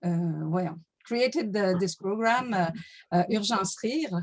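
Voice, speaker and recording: A woman with a French-Canadian accent speaks at a medium pitch with ordinary pitch variation. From Quebec. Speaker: laughter yoga leader. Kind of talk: workshop self-introduction. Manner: halting, many fillers.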